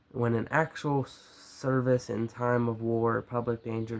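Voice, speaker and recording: Against noticeable background noise, a man with an American accent speaks at a medium pitch. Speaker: youtuber. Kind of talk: reading aloud with commentary. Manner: halting, stumbles over words.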